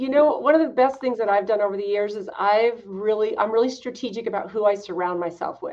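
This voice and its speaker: With a normal speaking voice, a woman talks at a fairly quick pace with hardly any pauses, a fairly high pitch and ordinary pitch variation. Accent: American. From US West, Idaho. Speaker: fitness business owner. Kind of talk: interview.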